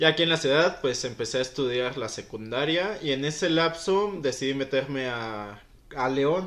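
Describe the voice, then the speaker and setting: A man talks at a moderate pace in an ordinary speaking voice, fairly high in pitch, with ordinary pitch variation. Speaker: former footballer. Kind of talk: interview. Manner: casual, slangy.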